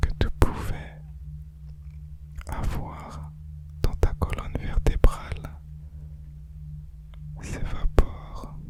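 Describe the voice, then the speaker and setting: A man whispering in a soothing tone at a very slow pace with long, frequent pauses, against noticeable background noise. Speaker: guided relaxation / ASMR hypnosis guide. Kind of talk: guided sleep relaxation. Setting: studio, with binaural tones in background. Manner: soft-spoken, slow, soothing; whispered.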